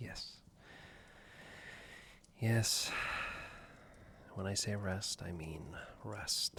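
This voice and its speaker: The speaker is a man whispering very slowly. He stops often for long pauses. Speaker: ASMR roleplay performer. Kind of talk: ASMR boyfriend roleplay. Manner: soft-spoken, comforting.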